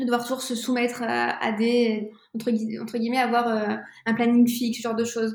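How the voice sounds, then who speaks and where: A woman's fairly high voice at a moderate pace, flat and monotone in intonation. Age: 20s. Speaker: entrepreneur. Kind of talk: casual interview. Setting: remote recording.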